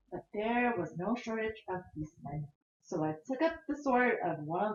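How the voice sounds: A natural reading voice comes through with lively intonation. The background is quiet.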